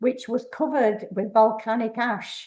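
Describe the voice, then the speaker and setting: The voice has a dark, mellow tone and a fairly slow pace, set against a quiet background. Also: woman. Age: 80s+. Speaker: workshop participant. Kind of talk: personal storytelling to a group. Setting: community workshop with small audience. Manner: halting.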